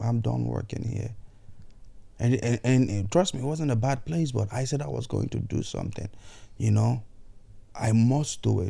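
The man's voice is somewhat breathy with a dark, mellow tone. His pitch is medium. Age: 30s. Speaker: podcast host. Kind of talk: motivational monologue. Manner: animated.

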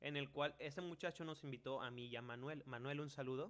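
A man with a Mexican accent talks at a fairly quick pace in a fairly high pitch. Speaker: podcast host. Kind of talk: casual chat.

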